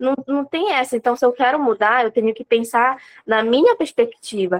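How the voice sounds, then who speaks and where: High-pitched speech from a woman, recorded dry and close without any echo. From Pará, Brazil (interior, Abaetetuba). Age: 20s. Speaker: nutritionist and medical student. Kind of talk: interview.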